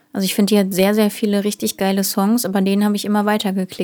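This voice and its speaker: A woman speaks very fast at medium pitch in a monotone, flat intonation, her dark, mellow tone captured in a very clean recording with a silent background. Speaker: singer and podcast co-host. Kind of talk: casual chat. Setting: small home studio.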